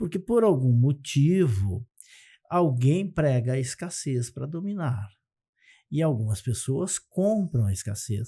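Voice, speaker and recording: At a very slow pace, a man speaks in a fairly high, somewhat breathy voice with a dark, mellow tone and very wide pitch swings, on a very clean recording with a silent background. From Brazil, Santa Catarina. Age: 60s. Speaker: economist and success methodologist. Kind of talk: podcast interview.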